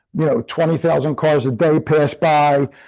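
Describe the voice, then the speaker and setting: Against a quiet background, a man with a normal speaking voice and a fairly high pitch talks at a moderate pace. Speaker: real estate trainer. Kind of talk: live online class tutorial.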